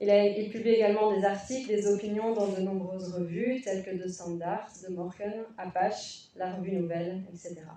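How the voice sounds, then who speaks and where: A woman's medium-pitched voice at a moderate pace, with fairly even intonation and hardly any pauses. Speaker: conference moderator. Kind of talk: panel introduction.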